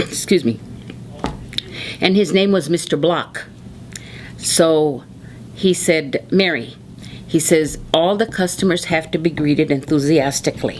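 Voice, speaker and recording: Against noticeable background noise, the voice moves at a fairly slow pace with long, frequent pauses, very even loudness and ordinary pitch variation. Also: woman, very deep, low pitch for a woman. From Arizona, Tucson. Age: 70s. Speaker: oral history interviewee. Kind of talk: oral history interview.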